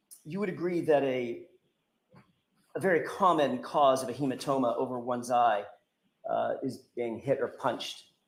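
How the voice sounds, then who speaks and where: Audible room echo surrounds a man speaking at a moderate pace with long, frequent pauses. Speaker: trial attorney. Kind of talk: courtroom cross-examination.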